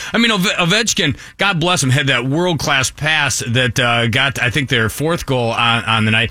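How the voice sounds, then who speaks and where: A man with a plain, everyday voice speaks at medium pitch and a moderate pace, his loudness very even and hardly any pauses breaking it up. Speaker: team radio play-by-play announcer. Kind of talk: casual chat about hockey.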